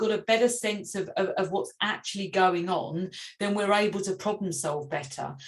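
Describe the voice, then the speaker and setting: Her voice sits at a medium pitch. This woman's pitch variation is ordinary. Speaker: parenting resilience workshop facilitator. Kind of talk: online workshop presentation. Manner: fast, self-correcting with many fillers.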